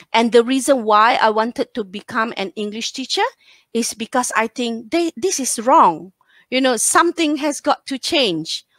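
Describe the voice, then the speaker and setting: A woman speaks at a moderate pace in a high pitch, her intonation lively and the sound dry and close with no echo. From northern Malaysia, near Thailand border. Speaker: English teacher and teacher trainer. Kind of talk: casual interview.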